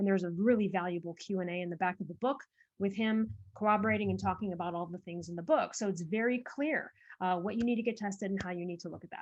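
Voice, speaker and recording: Ordinary pitch variation runs through speech delivered at a very fast pace. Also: woman, medium pitch for a woman. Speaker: author and thyroid health advocate. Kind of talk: podcast interview. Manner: animated.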